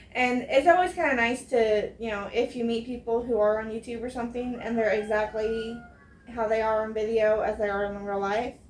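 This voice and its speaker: Over noticeable background noise, a woman with an American accent speaks at a fairly high pitch with fairly even intonation. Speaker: homesteading vlogger. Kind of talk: casual chat. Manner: careful, enunciated on camera; casual, many fillers.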